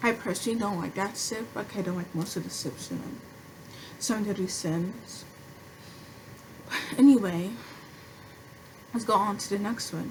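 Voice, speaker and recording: Amid noticeable background noise, a woman with a medium pitch and ordinary pitch variation talks at a moderate pace with long, frequent pauses. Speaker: anime commentary creator. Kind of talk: casual talk to camera. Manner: stuttering, hesitant.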